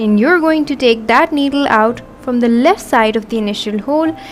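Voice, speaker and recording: Over noticeable background noise, a woman talks at a moderate pace in a high pitch with lively intonation. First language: not English. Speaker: embroidery artist. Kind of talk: tutorial. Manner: instructional, measured.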